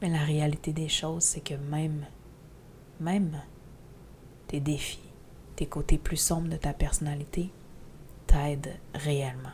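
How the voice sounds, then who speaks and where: A woman with a Quebec accent speaks at a very deep, low pitch in a monotone, flat intonation. Her pace is very slow, with long, frequent pauses. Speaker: spiritual teacher podcaster. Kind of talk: podcast monologue. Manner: loud.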